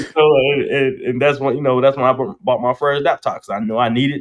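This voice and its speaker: Mumbling at a very fast pace, a man with a North Carolina accent speaks at a fairly high pitch. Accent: Southern US, North Carolina. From US South, North Carolina. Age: 40s. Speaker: barber and entrepreneur. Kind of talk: casual chat. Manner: fast, slightly mumbled.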